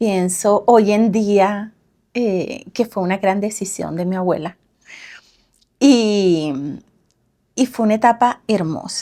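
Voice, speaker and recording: Very slowly and with long, frequent pauses, a woman speaks at a medium pitch in a dark, mellow tone with ordinary pitch variation, recorded very cleanly against a silent background. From Venezuela. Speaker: parenting coach. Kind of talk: casual interview.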